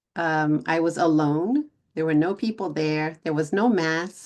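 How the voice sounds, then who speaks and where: A woman with a Texan accent speaks with lively intonation. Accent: Texan American English. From Texas. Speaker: English teacher vlogger. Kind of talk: casual English-learning vlog. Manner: slow, clear for learners.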